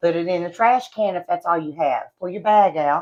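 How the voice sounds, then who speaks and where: Moderate pace and ordinary pitch variation in an Appalachian accent, against a quiet background. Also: woman. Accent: Appalachian country. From West Virginia. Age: 30s. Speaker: beauty and product vlogger. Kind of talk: casual vlog chat. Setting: at home.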